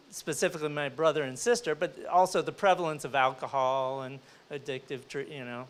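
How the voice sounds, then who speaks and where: A man with a fairly high pitch has an ordinary speaking voice with ordinary pitch variation. The recording is very clean with a silent background. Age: 60s. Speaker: entrepreneur, panelist. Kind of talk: panel discussion.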